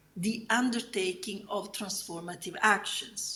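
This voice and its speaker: Audible room echo surrounds a woman speaking in an Italian accent. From southern Italy. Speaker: academic researcher. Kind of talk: conference keynote lecture. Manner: halting.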